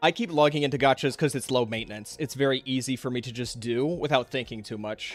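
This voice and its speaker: With music in the background, a man talks at a fairly quick pace in a medium pitch. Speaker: content creator. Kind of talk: casual chat. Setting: live stream. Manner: stuttering when unscripted.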